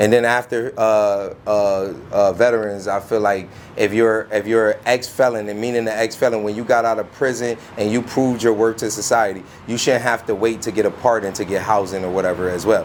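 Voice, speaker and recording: Over noticeable background noise, a man talks at a fairly quick pace in a monotone, flat intonation at a medium pitch. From Bridgeport, Connecticut. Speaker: street interviewer and video host. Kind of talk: street interview.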